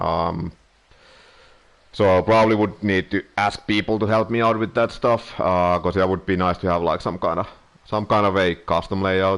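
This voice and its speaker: Holding a very even loudness, a man with a non-native accent speaks at a fairly low pitch and a moderate pace with fairly even intonation. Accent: noticeable non-native. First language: Finnish. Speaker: streamer. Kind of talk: casual live-stream chat. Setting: live stream. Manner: hesitant, many filler words and pauses.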